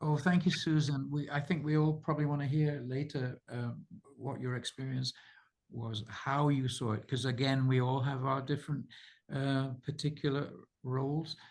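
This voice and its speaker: A somewhat breathy man with a British accent, at a fairly high pitch and moderate pace, fairly even in intonation, against a quiet background. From Britain. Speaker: author and researcher hosting a subscriber call. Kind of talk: casual group video call.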